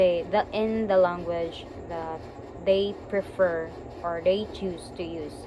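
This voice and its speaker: A woman with a fairly low pitch and monotone, flat intonation at a very slow pace, with big swings in loudness, audible room echo and noticeable background noise. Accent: Visayan Filipino. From Philippines, Cebu. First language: Cebuano. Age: 20s. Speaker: teacher and graduate student. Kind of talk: recorded class presentation. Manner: halting, with fillers and restarts.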